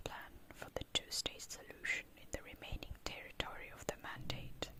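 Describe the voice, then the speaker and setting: A woman is whispering at a moderate pace. Noticeable background noise can be heard. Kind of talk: whispered ASMR reading of an encyclopedia article. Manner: whispered.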